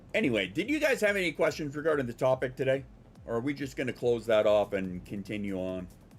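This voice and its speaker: Over background music, a man of medium pitch talks at a very fast pace with very wide pitch swings. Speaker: livestreamer. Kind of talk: casual chat. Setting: livestream. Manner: halting.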